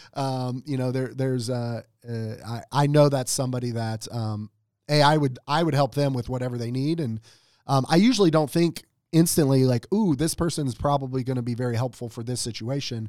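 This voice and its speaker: A man talks in an ordinary speaking voice at a medium pitch. The recording is very clean, with a silent background. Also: ordinary pitch variation, fairly quick pace. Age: 40s. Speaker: franchise owner and entrepreneur. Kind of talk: interview.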